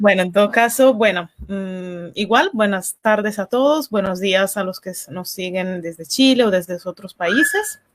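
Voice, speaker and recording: A woman with a plain, everyday voice and medium pitch talks at a fairly slow pace with hardly any pauses, ordinary pitch variation and big swings in loudness. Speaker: interview host. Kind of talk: live online interview hosting.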